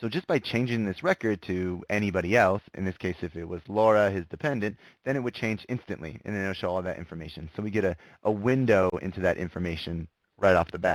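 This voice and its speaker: Dry and close with no echo, the speaker races along at a very fast pace in an enthusiastic tone. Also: man, fairly low pitch for a man, ordinary pitch variation. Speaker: software solution presenter. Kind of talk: webinar product demo. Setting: online webinar.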